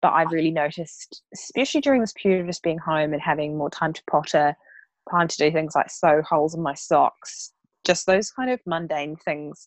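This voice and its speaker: A New Zealand accent at a fairly quick pace, ordinary pitch variation, a dry, close sound with no echo, and a quiet background. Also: woman, fairly low pitch for a woman. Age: 30s. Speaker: blogger and investment advisor. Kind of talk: casual chat.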